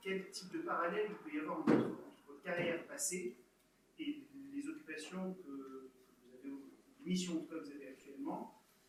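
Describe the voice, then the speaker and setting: With audible room echo and noticeable background noise, a man talks in a high voice at a moderate pace, his pitch swinging very widely. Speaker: audience member, graduate. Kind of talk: audience question.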